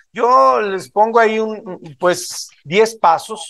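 The background is quiet as a man talks. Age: 50s. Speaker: motivational speaker at a business event; motivational speaker. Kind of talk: motivational talk to a live audience. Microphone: video call.

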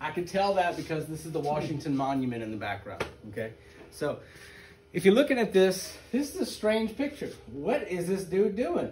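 Amid light background noise, a man with a high pitch speaks at a moderate pace. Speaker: teacher. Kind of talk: lecture. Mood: joking, relaxed. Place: classroom. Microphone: camera far.

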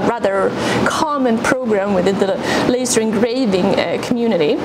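A woman speaks over loud background noise. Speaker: maker reviewing a tool. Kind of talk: tutorial. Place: workshop. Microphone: lapel.

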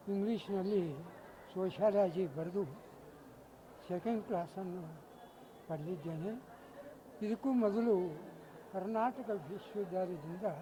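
His voice is pitched high. The man's pitch moves in an ordinary way. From North Karnataka, Ilkal area. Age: 80s+. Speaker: retired government official, student. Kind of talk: interview.

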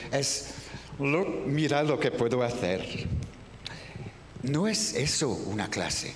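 A man with a French accent speaks at a very slow pace with lively intonation, amid light background noise and audible room echo. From France. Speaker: voice actor, dubbing director and teacher. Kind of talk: masterclass talk on dubbing technique. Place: hall.

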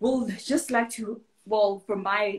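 A woman's somewhat breathy voice. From South Africa. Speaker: online talk show host. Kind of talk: casual interview. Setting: live video stream. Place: home room. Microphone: video call.

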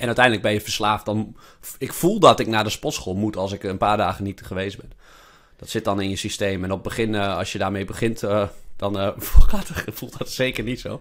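This man's voice is fairly low, with fairly even intonation and a moderate pace. His loudness swings widely. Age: 30s. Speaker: podcast host, investor. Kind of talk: casual chat. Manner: halting.

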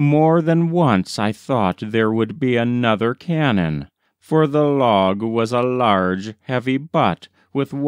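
A natural reading voice with lively intonation, set against a quiet background.

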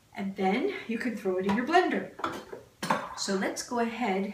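A woman talks fairly slowly with noticeable noise behind her. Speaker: cooking show host. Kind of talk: tutorial. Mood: warm, upbeat. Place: kitchen.

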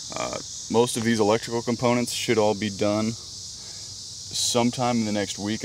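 The speech is delivered in a flat monotone. The sound is dry with no echo, with noticeable background noise. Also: man. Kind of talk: casual vlog chat. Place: car. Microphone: phone near.

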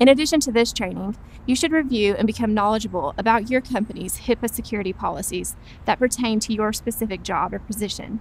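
A woman speaks very fast, with ordinary pitch variation and vocal fry. The sound is dry with no echo, and there is light background noise. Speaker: presenter. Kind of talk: scripted training presentation. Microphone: lapel.

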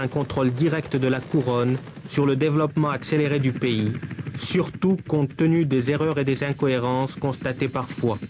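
A man speaks at a fairly high pitch and a moderate pace, with fairly even intonation and very even loudness. Noticeable background noise is present. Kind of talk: 1978 newsreel narration and interviewer questions. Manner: formal, measured, crisp documentary-style delivery; even-paced, authoritative voice-over.

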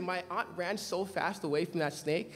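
With an American accent, a man projects his raised voice in an animated, bright and sharp tone. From Los Angeles County, Nigerian family. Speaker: preacher. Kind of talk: sermon. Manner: animated storytelling. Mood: humorous anecdote. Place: church. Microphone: podium.

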